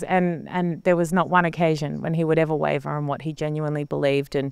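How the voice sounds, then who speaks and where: A woman with an Australian accent, fairly low in pitch, at a very fast pace. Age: 40s. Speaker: television presenter. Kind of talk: interview.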